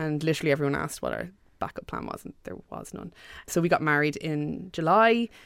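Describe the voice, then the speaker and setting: This woman has a very deep, low pitch and an Irish accent. She talks at a very fast pace with lively intonation. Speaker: website co-founder. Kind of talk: interview.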